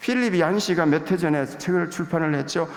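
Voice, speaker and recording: Clear background noise and audible echo from the room accompany speech at a moderate pace. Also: man. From Gyeongsang province, South Korea. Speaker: visiting pastor. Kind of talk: sermon. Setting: church pulpit.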